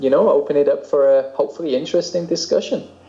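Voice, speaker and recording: A man is heard over noticeable background noise. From England. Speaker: composer and podcaster. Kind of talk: casual chat. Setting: video call.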